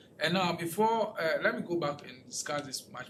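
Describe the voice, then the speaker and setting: A man at a moderate pace, high pitched with very wide pitch swings, with noticeable background noise and audible room echo. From Ghana. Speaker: political researcher presenting a talk. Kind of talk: lecture presentation with audience questions. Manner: halting, with repetitions and restarts.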